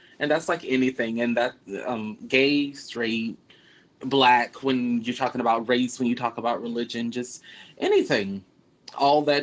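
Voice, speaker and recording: Here a man with an ordinary speaking voice talks at a medium pitch and a moderate pace, his intonation fairly even. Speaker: podcast co-host. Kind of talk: casual banter, comedic chat. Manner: irreverent, profane, joking.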